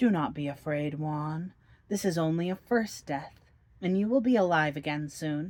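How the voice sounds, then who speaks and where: A female-sounding, put-on character voice speaks at a middle pitch and a moderate pace. The recording is very clean, with a silent background. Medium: read story.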